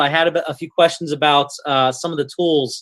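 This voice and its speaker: The man has an unremarkable speaking voice with ordinary pitch variation. His pitch sits fairly high. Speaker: online seminar presenter. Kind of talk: webinar presentation.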